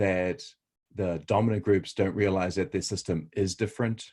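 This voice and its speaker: In a New Zealand accent, the speaker moves at a fairly slow pace with ordinary pitch variation on a very clean recording with a silent background. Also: man. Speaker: researcher. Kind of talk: interview. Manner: hesitant, many fillers.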